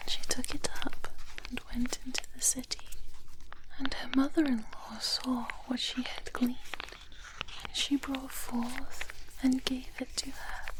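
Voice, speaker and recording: Whispering in a gentle tone with a British accent, the speaker goes at a fairly slow pace with long, frequent pauses over noticeable background noise. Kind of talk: soft-spoken Bible reading ASMR. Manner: soft-spoken, gentle, whispered layers.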